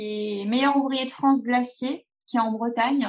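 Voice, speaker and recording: Intonation stays fairly even over a quiet background. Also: woman. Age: 40s. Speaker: pastry chef. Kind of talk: casual chat.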